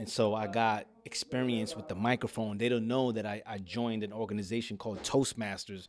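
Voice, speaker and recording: Fairly even intonation with hardly any pauses. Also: man, medium pitch for a man. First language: Spanish. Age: 50s. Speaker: life coach and speaker. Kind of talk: podcast interview. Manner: articulate.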